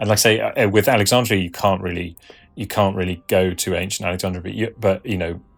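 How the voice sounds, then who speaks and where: With music in the background, a man with a British accent and fairly low pitch speaks very fast with fairly even intonation. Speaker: Egyptologist. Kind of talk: interview. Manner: halting, many restarts.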